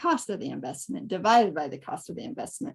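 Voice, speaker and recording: Very wide pitch swings across a woman's fairly high voice. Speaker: real estate investor. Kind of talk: webinar presentation. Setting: online webinar. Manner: fast.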